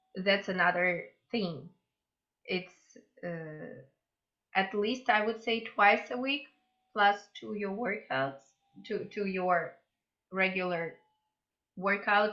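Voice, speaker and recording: Pausing long and often, a woman with a Russian accent talks at a very slow pace, medium in pitch with ordinary pitch variation. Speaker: mobility instructor. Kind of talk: interview.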